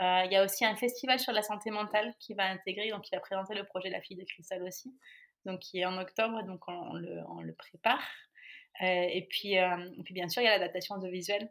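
Her pitch sits in the middle range as this woman talks fairly quickly, her intonation fairly even while her loudness swings widely. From France. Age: 30s. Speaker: author and project founder. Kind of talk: interview. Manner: halting.

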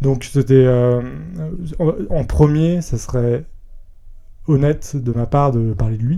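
A man's voice with a dark, mellow tone. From France, Rhône-Alpes (near Villefranche, Lyon area). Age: 20s. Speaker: podcast guest, entertainment company employee. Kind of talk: personal testimony interview. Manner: hesitant, many fillers.

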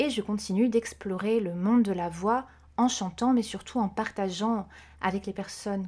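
A woman's dark, mellow, somewhat breathy voice at a fairly slow pace, in a very clean recording with a silent background. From Corsica. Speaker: vocal coach. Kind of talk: interview.

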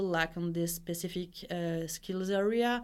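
A woman with a French accent talks at a medium speed. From France. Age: 30s. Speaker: design executive. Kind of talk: interview. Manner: halting.

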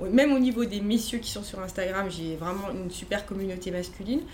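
Medium in pitch, a woman speaks at a moderate pace. Audible room echo and noticeable background noise surround her. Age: 40s. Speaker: entrepreneur. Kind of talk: casual chat. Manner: halting.

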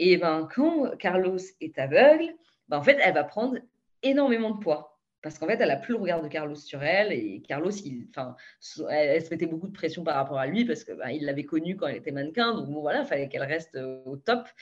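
Speaking at a fairly quick pace, this woman has a fairly low pitch. Her pitch swings very widely. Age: 20s. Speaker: consultant sharing eating disorder recovery. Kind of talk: interview testimony.

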